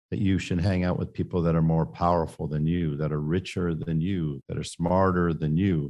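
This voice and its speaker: Over a quiet background, a man with an American accent talks at a moderate pace in a very deep, low voice with a dark, mellow tone and ordinary pitch variation. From San Francisco Bay Area, California. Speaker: business consultant and entrepreneur. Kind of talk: podcast interview.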